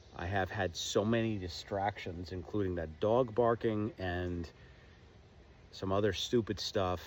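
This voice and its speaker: At a fairly slow pace, a man talks in a fairly low pitch with fairly even intonation. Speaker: spiritual vlogger. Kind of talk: casual monologue.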